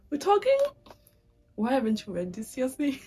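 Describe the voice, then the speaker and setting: Music plays behind a woman as she talks. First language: French. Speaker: booktuber. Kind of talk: casual vlog talk. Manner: casual, with filler words.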